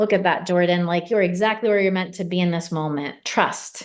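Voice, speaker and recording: A woman speaks at a moderate pace in an ordinary speaking voice. Her pitch is fairly low and her intonation fairly even. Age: 40s. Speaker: mindset coach. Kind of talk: sales pitch.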